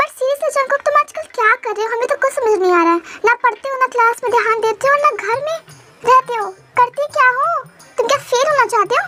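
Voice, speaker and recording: In a put-on character voice, a female-sounding speaker talks at a very fast pace with an extremely high pitch. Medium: read story. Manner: scolding, dramatic.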